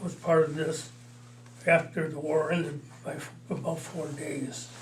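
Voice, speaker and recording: At a moderate pace, a man with a Midwestern accent keeps a fairly even intonation while his loudness swings widely. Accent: American Midwest. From Illinois. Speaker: war veteran. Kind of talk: interview answer.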